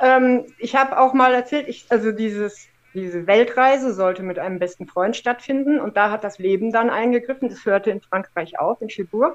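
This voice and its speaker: An unremarkable speaking voice moves at a moderate pace with hardly any pauses, ordinary pitch variation and big swings in loudness. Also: woman, fairly high pitch for a woman. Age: 50s. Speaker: former professional cyclist and adventurer. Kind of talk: casual interview chat.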